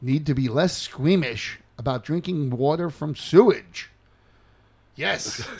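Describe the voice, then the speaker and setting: A man with a Queens accent speaks fairly slowly at a fairly high pitch, his intonation lively. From New York City, Queens. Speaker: podcast co-host. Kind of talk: casual chat.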